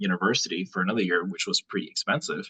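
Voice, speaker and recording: The speaker has an American accent and a fairly quick pace. The sound is dry and close, with no echo. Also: man. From California. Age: 20s. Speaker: real estate investor. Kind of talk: interview.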